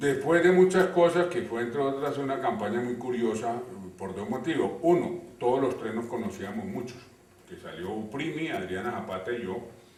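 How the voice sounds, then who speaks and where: With a Cali accent and a medium pitch, a man speaks in very wide pitch swings, amid audible room echo and noticeable background noise. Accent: Cali (caleño). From Colombia, Cali. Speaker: university rector. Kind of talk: interview. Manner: hesitant, with filler sounds.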